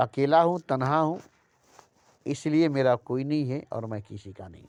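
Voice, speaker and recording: His pitch rises and falls in an ordinary way. This man speaks at a medium pitch. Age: 60s. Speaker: spiritual speaker. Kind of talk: spiritual talk. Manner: repetitive.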